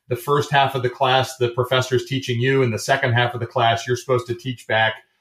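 The speaker uses a monotone, flat intonation with a Michigan accent. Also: man. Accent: Midwestern American (Michigan). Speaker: airline co-founder, former Navy fighter pilot, business school lecturer. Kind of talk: interview.

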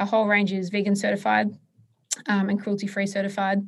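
Somewhat breathy, a woman speaks with an Australian accent. Her pitch is medium and her pace moderate. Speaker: entrepreneur. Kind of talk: interview. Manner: hesitant, many filler words.

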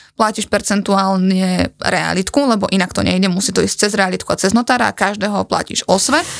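A woman talks at a fairly quick pace in an ordinary speaking voice, medium in pitch with fairly even intonation. The recording is very clean, with a silent background. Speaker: podcast host. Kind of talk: casual chat.

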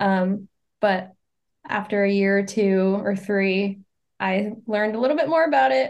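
A woman at medium pitch has a plain, everyday voice. She speaks at a fairly slow pace with lively intonation. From Maine, US (small town north of Portland). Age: 20s. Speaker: long-distance hiker. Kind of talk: interview.

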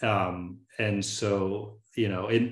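With an American accent, a man talks in an unremarkable speaking voice, fairly low in pitch and fairly even in intonation. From US South, Tallahassee, Florida. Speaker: fire management program director. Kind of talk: interview. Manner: casual, many fillers.

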